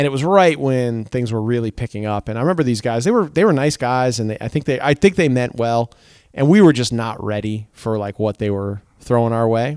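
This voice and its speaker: An American-accented man with a normal speaking voice and medium pitch talks at a fairly quick pace, in a very clean, dry, close recording with no echo and a silent background. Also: ordinary pitch variation. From Connecticut. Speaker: ska band singer. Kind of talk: casual interview. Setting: in a car.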